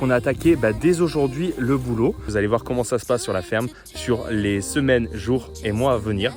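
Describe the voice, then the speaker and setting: With music in the background, a man speaks at medium pitch and a moderate pace, using lively intonation. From France, Savoie. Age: 30s. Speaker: travel vlogger, farm worker. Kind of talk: casual vlog narration. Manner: casual, many fillers.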